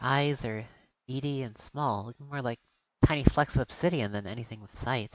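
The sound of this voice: In an unforced reading voice with ordinary pitch variation, the speaker talks over a quiet background.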